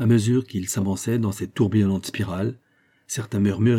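An unforced reading voice and fairly even intonation

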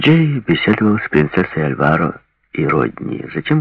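Against a quiet background, there is an unforced reading voice.

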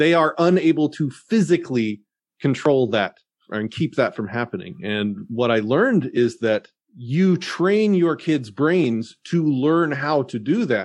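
Over a quiet background, a man with an American accent and an ordinary speaking voice talks at a fairly slow pace, with a fairly high pitch and lively intonation. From Texas, Dallas-Fort Worth area. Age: 40s. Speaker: podcast host and activist. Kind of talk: casual interview conversation.

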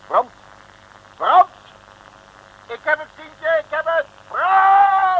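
This is a put-on character voice. The pace is very slow. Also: man, extremely high pitch for a man, lively intonation.

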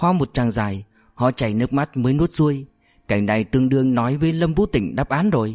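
Lively intonation in a natural reading voice

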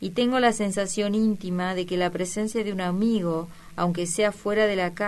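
The clip is plain reading aloud. Nothing more goes on than the text being read.

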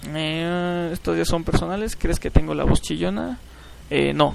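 The voice has vocal fry and ordinary pitch variation. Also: man, fairly high pitch for a man, moderate pace.

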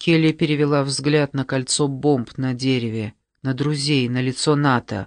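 With a quiet background, the text is read aloud in a natural voice whose intonation stays fairly even.

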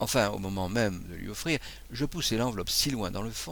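Someone is reading aloud. The delivery is in a natural voice.

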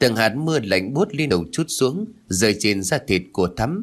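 Someone simply reads a passage aloud in a plain manner.

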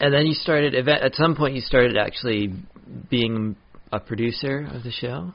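The pace is moderate and the pitch varies in an ordinary way, delivered in a normal speaking voice. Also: man, medium pitch for a man. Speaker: podcast host and comedian. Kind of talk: casual chat.

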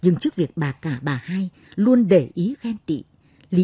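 Someone is reading aloud in a natural voice, and the intonation stays lively.

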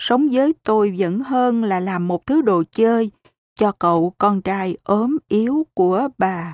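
With only a quiet background around it, the reader's voice sounds natural.

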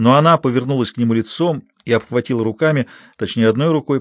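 An unforced reading voice with ordinary pitch variation comes through.

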